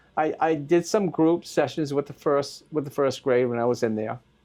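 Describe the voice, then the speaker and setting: A man with a Maine accent speaks at a fairly high pitch, his tone dark and mellow, with ordinary pitch variation. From Maine, US. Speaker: school volunteer. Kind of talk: interview. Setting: school. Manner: halting.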